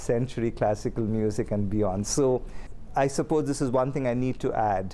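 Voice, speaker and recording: A man with an Indian accent, dark and mellow in tone, with ordinary pitch variation at a moderate pace. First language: Kannada. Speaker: seminary professor. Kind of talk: interview. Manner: conversational.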